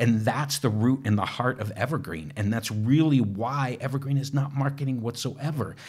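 In an enthusiastic, animated tone, a man talks at a moderate pace with hardly any pauses. His medium pitch varies in an ordinary way, and his voice is somewhat breathy. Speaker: technical evangelist. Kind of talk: casual interview chat.

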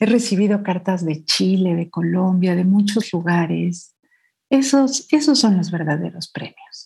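This woman's voice is medium in pitch, dark and mellow in tone, and somewhat breathy, with lively intonation at a fairly slow pace. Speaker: poet and children's author. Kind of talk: interview. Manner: sweet yet powerful reading voice.

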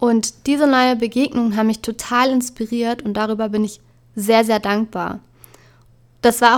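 A woman at a moderate pace, fairly high in pitch, with fairly even intonation. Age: 20s. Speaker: podcast host. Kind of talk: solo podcast monologue.

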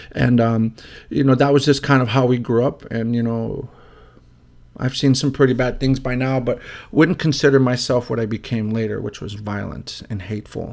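Speaking with a Chicago accent, a man keeps his intonation fairly even. His pitch is medium and his pace moderate. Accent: Chicago American English. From Chicago, Illinois. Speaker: podcast host, social worker, former prisoner. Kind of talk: personal testimony monologue.

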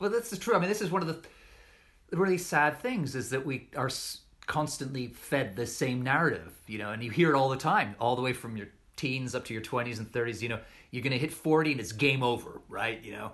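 This man has an unremarkable speaking voice at a medium pitch. He talks at a fairly quick pace with lively intonation. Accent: Canadian. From Western Canada. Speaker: writer, journalist. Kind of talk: casual conversation. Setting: video call.

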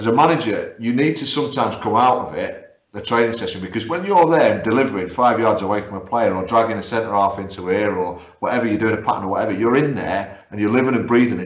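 A man's very fast speech at medium pitch, with ordinary pitch variation and audible room echo. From Guernsey (northeast England roots). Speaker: football podcast host and coach. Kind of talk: casual interview. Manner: hesitant, many fillers.

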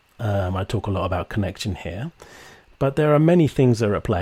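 The man's voice sits at a fairly low pitch with a dark, mellow tone. It sounds somewhat breathy. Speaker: podcast host. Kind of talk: interview conversation.

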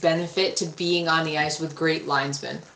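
The room echo is audible. A woman is speaking. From Rhode Island. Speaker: ice hockey referee. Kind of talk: casual interview.

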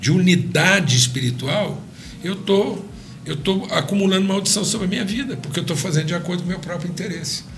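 A man's moderate-paced speech carries audible room echo and noticeable background noise behind it. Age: 60s. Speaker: pastor. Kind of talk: podcast interview.

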